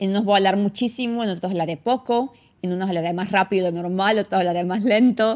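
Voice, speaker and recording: A woman with a Venezuelan Andean accent talks at a fairly quick pace in an animated tone, her medium pitch showing ordinary pitch variation. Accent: Venezuelan Andean (gocho) Spanish. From Venezuela, San Cristóbal (Táchira). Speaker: immigration consultant and podcast host. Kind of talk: casual monologue. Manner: fast.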